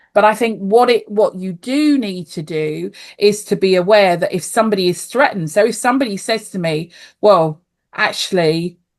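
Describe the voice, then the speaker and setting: With a British accent and lively intonation, a woman at medium pitch speaks against a quiet background. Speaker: life coach and osteopath. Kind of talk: podcast interview.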